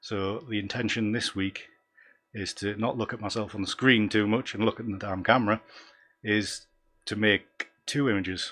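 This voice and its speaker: Speaking with a Northumbrian accent, a man uses a monotone, flat intonation at a moderate pace and a fairly low pitch. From North East England, Northumberland. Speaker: photography YouTuber, abstract landscape photographer. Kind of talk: live stream commentary. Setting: live stream from home. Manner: hesitant, many fillers.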